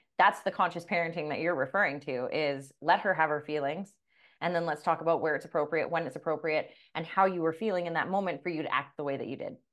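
A woman with a Canadian accent, fairly low pitch and fairly even intonation, very fast, over a quiet background. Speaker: podcast host. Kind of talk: casual chat.

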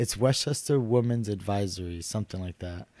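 Here a man with a New York accent has a fairly low pitch and ordinary pitch variation. The recording is very clean, with a silent background. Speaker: city council candidate. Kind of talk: casual chat.

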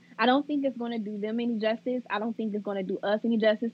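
A woman's somewhat breathy voice, fairly high in pitch, with fairly even intonation. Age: 20s. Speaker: second grade teacher. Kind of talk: casual interview chat.

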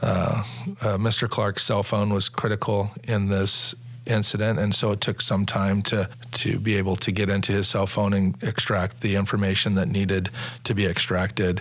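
A man talks at a very even loudness. Noticeable background noise runs under his voice. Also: fairly low pitch for a man, fairly even intonation, moderate pace. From Sacramento, California. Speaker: police officer and union president. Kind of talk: interview.

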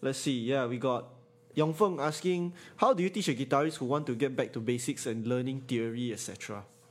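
At a moderate pace, a man with a Singaporean accent talks at a medium pitch with ordinary pitch variation. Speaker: podcast host. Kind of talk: casual chat. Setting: live stream.

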